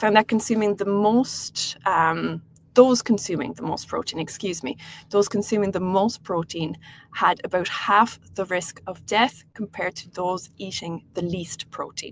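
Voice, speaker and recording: Her delivery moves at a fairly slow pace. She shows ordinary pitch variation. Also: medium pitch for a woman, big swings in loudness. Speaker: health coach. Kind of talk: webinar presentation. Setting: online webinar. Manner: hesitant, many fillers.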